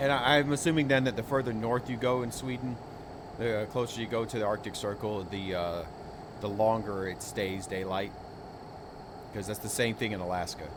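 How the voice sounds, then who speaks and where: A man's fairly low voice with an American accent, at a moderate pace, with ordinary pitch movement, long and frequent pauses, and audible room echo. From United States. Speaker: gaming streamer. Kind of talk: casual chat. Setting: live stream.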